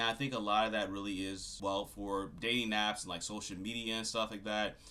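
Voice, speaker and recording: A man's fairly low voice, monotone and flat in intonation, with a bright, sharp tone. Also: fairly quick pace. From Louisiana. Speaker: YouTuber. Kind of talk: casual rant to camera. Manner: casual, filler-heavy.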